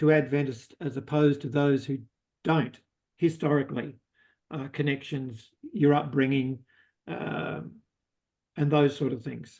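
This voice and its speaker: In an Australian accent, a man with a fairly high pitch talks at a moderate pace. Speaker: audience member asking a question. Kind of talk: Q&A discussion. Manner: halting, many fillers.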